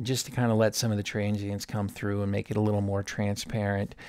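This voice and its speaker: The recording is very clean and the background silent. In it, a man talks with a fairly low pitch. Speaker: audio engineer. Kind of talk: tutorial. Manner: casual, informal.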